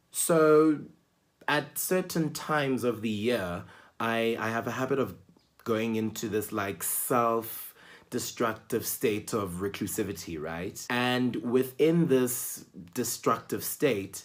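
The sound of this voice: The speech moves at a slow pace. Its pitch varies in an ordinary way.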